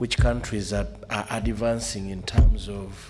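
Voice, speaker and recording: Noticeable background noise sits behind a man with a Ugandan accent. His fairly low voice moves at a very slow pace with ordinary pitch variation. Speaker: member of parliament. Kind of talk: question at a seminar.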